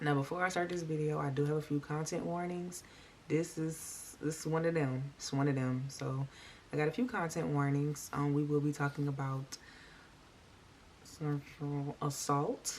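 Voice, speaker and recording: Quiet and at a moderate pace, a woman talks with a very deep, low pitch and fairly even intonation. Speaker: true crime and makeup YouTuber. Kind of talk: casual storytelling while doing makeup. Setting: at home, late at night. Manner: talking low, quiet; chatty, conversational.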